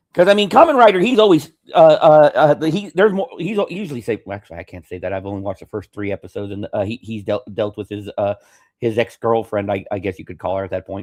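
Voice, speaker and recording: A man with a fairly high voice talks at a very fast pace, with vocal fry. His pitch swings very widely and his loudness rises and falls sharply. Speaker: podcast host. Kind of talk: casual chat. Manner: halting, stammering.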